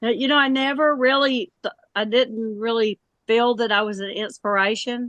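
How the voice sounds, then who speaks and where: In an ordinary speaking voice, a woman speaks at a moderate pace and fairly high pitch with ordinary pitch variation, in a dry, close sound with no echo. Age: 60s. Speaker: pitmaster and chef. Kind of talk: interview.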